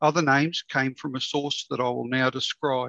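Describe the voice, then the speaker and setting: At a moderate pace, a man with an Australian accent speaks in a bright, sharp tone over a quiet background. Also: dry sound with no echo. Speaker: local studies librarian; presenter. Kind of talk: presentation. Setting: video call. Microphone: video call.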